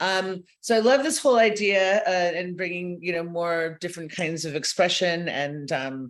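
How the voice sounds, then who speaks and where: A woman's fairly low voice at a moderate pace, with ordinary pitch variation and hardly any pauses. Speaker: clinical psychologist. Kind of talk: webinar presentation. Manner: hesitant, many fillers.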